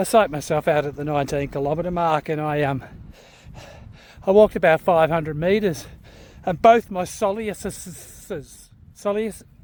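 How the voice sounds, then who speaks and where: A man with an Australian accent speaks at a moderate pace, his pitch high with ordinary variation. He leaves long, frequent pauses. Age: 50s. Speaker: shift worker and amateur runner. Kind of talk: casual vlog talk to camera.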